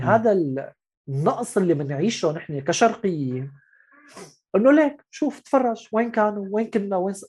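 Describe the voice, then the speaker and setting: With a Syrian accent, a man speaks at a moderate pace in a high pitch, his pitch swinging very widely and his loudness rising and falling sharply. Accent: Syrian Levantine Arabic. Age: 30s. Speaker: writer and journalist. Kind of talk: casual interview. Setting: video call.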